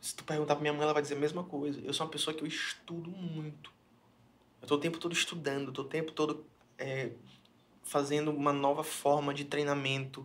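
The man's fairly high voice moves at a fairly quick pace in a monotone, flat intonation. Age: 20s. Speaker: pastor. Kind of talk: casual chat. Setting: studio.

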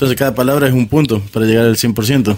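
A man uses a plain, everyday voice at medium pitch with ordinary pitch variation. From Córdoba, Argentina. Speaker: guest, friend of the hosts. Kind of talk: casual chat.

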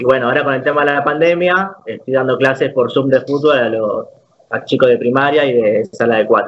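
A man talks at a fairly quick pace in a fairly high pitch. He has an ordinary speaking voice with ordinary pitch variation. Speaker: esports player. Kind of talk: casual interview.

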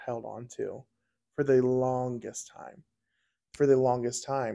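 At a fairly slow pace, a man talks with a medium pitch and a dark, mellow tone over a quiet background. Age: 20s. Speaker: podcast host. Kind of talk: casual faith interview.

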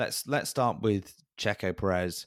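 A man with a British accent in a very clean recording with a silent background. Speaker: podcast co-host. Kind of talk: casual chat.

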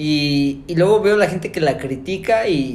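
A man speaks with lively intonation, and audible echo fills the room. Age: 20s. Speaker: podcast co-host. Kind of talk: casual chat.

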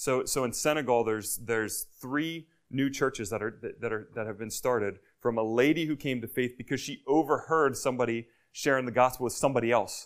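A man with a plain, everyday voice talks at a fairly quick pace and medium pitch, his intonation fairly even, in a very clean recording with a silent background. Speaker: missionary preacher. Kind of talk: sermon. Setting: church.

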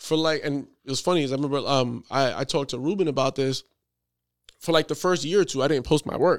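On a very clean recording with a silent background, a man with an American accent and an ordinary speaking voice talks at a fairly quick pace, his fairly high pitch showing ordinary pitch variation. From New York. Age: 30s. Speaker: photographer. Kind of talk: casual chat.

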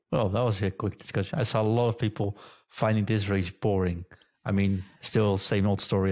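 A man with a Dutch accent, a dark, mellow tone and a fairly low pitch, at a moderate pace, in a dry, close sound with no echo on a very clean recording with a silent background. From Netherlands. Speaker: podcast host. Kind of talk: casual chat.

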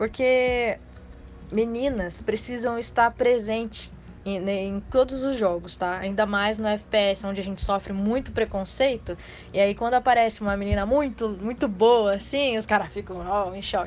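Speaking fairly slowly, a woman with a fairly high pitch keeps her intonation fairly even. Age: 20s. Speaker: casual gamer. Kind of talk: casual chat. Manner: halting.

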